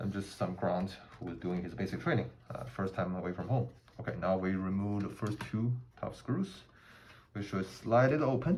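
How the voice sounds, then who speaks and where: A man speaks at a moderate pace in a fairly low pitch with a non-native accent and ordinary pitch variation, pausing long and often. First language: not English. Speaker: gun hobbyist, army veteran. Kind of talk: tutorial. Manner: halting, many fillers.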